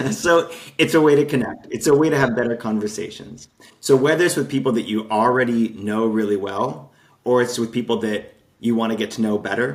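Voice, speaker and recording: In an American accent, a man with a plain, everyday voice speaks at a fairly quick pace and a medium pitch, with ordinary pitch variation. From Utah, US (Salt Lake City). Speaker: game designer, entrepreneur. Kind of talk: podcast interview.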